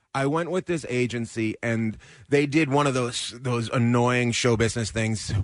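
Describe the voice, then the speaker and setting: With ordinary pitch variation and a medium pitch, a man speaks at a moderate pace. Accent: Western Canadian. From Terrace, British Columbia, Canada. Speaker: actor. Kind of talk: casual radio interview.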